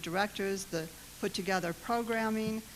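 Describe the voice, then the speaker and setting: In an American accent, a woman speaks fairly quickly at a medium pitch with ordinary pitch variation, and the room echo is audible. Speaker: government competition official. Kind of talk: conference presentation.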